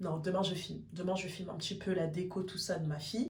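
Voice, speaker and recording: A woman's medium-pitched, somewhat breathy voice with a dark, mellow tone and audible room echo. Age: 30s. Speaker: vlogger. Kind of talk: casual vlog talk.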